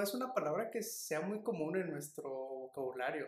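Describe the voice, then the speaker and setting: A man at a moderate pace, with lively intonation. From Mexico. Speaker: podcast co-host. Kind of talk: casual chat.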